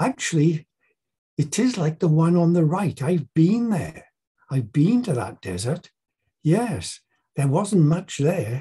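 Against a quiet background, a man speaks at a very slow pace with long, frequent pauses, his high pitch, dark, mellow tone and lively intonation standing out. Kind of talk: bible talk to a group. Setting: presentation with slides. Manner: informal, slightly halting. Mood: warm, playful teacher tone.

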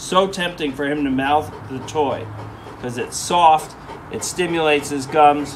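Music plays behind a man who talks at a fairly slow pace, his loudness swinging widely while his pitch varies in an ordinary way. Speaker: dog trainer. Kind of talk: tutorial. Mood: calm, encouraging. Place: garden.

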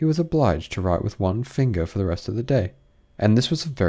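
The lively intonation stands out. It belongs to someone reading aloud in a natural voice.

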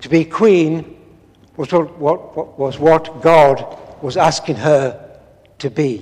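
At a slow pace, a man speaks with a fairly high pitch, a slightly mellow tone, a slightly husky edge and ordinary pitch variation.

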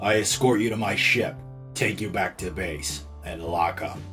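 A man's put-on character voice, very deep and low in pitch, over clear background music. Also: moderate pace. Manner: cold, curt.

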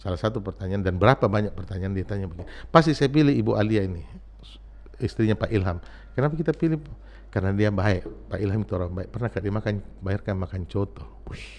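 Talking very fast, a man with a fairly low pitch uses lively intonation and vocal fry. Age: 50s. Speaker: former city mayor. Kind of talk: interview. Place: studio. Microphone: studio mic.

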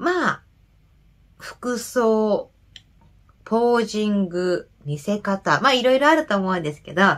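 A woman talks at a moderate pace in a normal speaking voice, pitched fairly high with lively intonation. The background is quiet. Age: 30s. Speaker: nurse and men's health YouTuber; nurse health channel host. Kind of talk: reading and commenting on viewer comments. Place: home room. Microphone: webcam.

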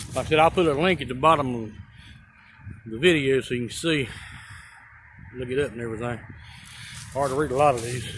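The speaker has a Carolinas accent and talks at a fairly quick pace with ordinary pitch variation. The sound is dry with no echo, though background noise is noticeable. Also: man. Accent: US Southern (Carolinas). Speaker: YouTuber, amateur explorer; YouTuber. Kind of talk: casual vlog narration. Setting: outdoors by an interstate highway. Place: open country. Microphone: phone near.

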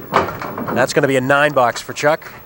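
An upbeat man at a moderate pace, dry sound with no echo, noticeable background noise around him. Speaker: TV bowling play-by-play host. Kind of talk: live sports commentary. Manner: brisk, upbeat play-by-play announcer.

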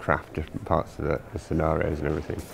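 Noticeable background noise sits under a man's speech. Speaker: ringmaster and creative director of the event. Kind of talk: documentary interview answer. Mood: calm, reflective. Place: hall.

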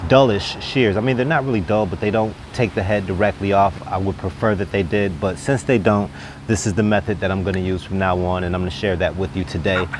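Over noticeable background noise, a man talks at a very fast pace with hardly any pauses, using a fairly low pitch with ordinary variation in a dry sound with no echo. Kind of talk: tutorial. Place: garden. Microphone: lapel.

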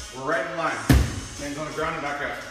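A man's voice carries audible room echo, with clear music in the background. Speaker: workout instructor. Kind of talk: tutorial. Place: gym.

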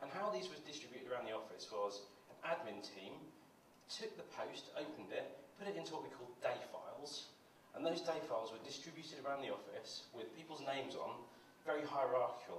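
Speaking at a fairly quick pace, a man is heard with audible room echo. Light background noise sits behind him. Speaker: conference presenter. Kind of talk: conference talk. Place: stage.

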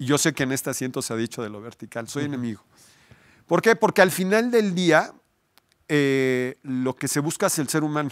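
The speaker has a Mexican accent and a fairly quick pace. The recording is very clean, with a silent background. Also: man, fairly high pitch for a man, lively intonation, big swings in loudness. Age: 50s. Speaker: architect. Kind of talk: interview. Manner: halting.

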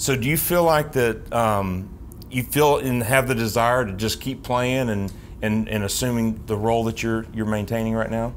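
Light background noise accompanies a man speaking at a moderate pace with a Southern US accent. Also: medium pitch for a man, ordinary pitch variation. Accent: Southern American. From US South, Tennessee (Knoxville); Tennessee. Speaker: team alumni host, former pitcher; team alumni host. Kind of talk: interview. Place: studio.

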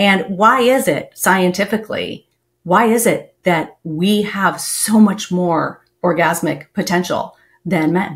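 An American-accented woman at medium pitch, somewhat breathy, with ordinary pitch variation, a very slow pace and a quiet background. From Texas. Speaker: podcast host. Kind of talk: interview. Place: home room. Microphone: headset.

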